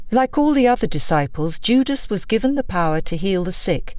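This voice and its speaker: At a moderate pace, a woman speaks with a medium pitch. Her voice makes very wide pitch swings. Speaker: audiobook narrator. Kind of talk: non-fiction audiobook narration. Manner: engaging, authoritative.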